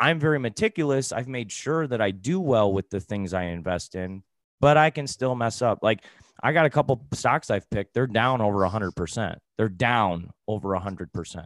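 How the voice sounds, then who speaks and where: An unremarkable speaking voice from a man with an American accent, medium pitch, lively intonation and a fairly quick pace, in a very clean recording with a silent background and a dry, close sound with no echo. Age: 30s. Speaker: personal finance coach. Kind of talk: interview.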